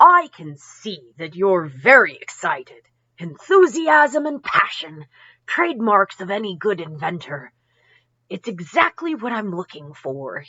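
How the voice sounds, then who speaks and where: A woman's put-on character voice at medium pitch, with very wide pitch swings and a fairly slow pace. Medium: read story.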